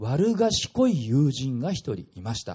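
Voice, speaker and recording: Over a quiet background, a man talks at a fairly slow pace in a dark, mellow tone with very wide pitch swings. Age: 40s. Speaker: pastor. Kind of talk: sermon.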